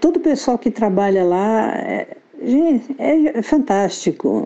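Noticeable background noise runs under this clip. A woman talks at a fairly slow pace with lively intonation. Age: 60s. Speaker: copywriter and author. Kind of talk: interview.

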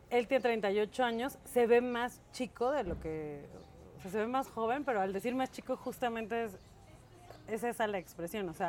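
Speaking with a Mexican accent, a woman talks at a moderate pace in a fairly high pitch with ordinary pitch variation. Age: 40s. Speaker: podcast co-host. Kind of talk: casual chat.

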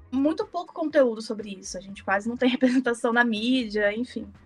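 A woman with a Minas Gerais accent speaks at a high pitch in a very clean recording with a silent background. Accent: Minas Gerais Brazilian Portuguese. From Brazil, Minas Gerais. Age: 20s. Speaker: designer, podcast guest. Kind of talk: casual chat.

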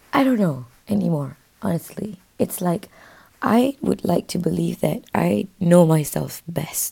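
A woman talks at a fairly slow pace in a fairly low pitch, her tone dark and mellow. Her pitch swings very widely, and vocal fry runs through her voice. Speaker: podcaster. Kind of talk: casual monologue. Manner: slow, unhurried.

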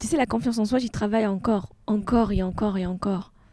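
A very fast, fairly high-pitched woman's voice with a dark, mellow tone and ordinary pitch variation. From Tunisia. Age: 40s. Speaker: art gallery founder, former engineer. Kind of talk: casual interview.

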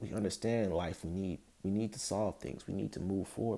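With a dark, mellow tone, a man speaks at a fairly quick pace. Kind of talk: solo monologue. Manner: calm, steady; laughs often.

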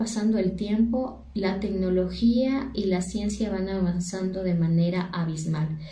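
There is audible room echo and noticeable background noise. A woman talks at a fairly slow pace. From Ecuador. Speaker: university teacher. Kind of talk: monologue talk on education.

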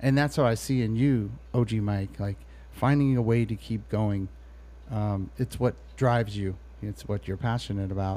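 A man with an American accent in a somewhat breathy, dark and mellow voice, fairly low in pitch with lively intonation, at a moderate pace, in a very clean recording with a silent background. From Bay Area, California. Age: 40s. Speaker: podcast host, former hip-hop artist. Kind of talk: casual interview.

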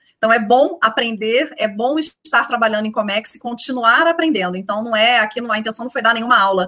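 Speaking very fast, a woman has a bright, sharp tone and ordinary pitch variation. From Rio de Janeiro, Brazil. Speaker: shipping company executive. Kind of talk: interview.

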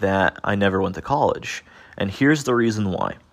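At a moderate pace, a man talks in a fairly low pitch with an animated tone and ordinary pitch variation. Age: 30s. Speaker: self-help podcast host. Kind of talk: motivational monologue.

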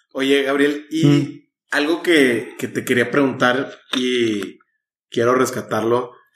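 A man's speech crawls at a very slow pace while his intonation stays fairly even. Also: medium pitch for a man. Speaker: podcast host. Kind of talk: casual interview.

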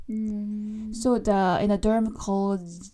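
With music in the background, a woman speaks at medium pitch in a Japanese accent. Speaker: English teacher and podcast host. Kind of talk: casual bilingual chat. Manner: fillers, code-switching between Japanese and English.

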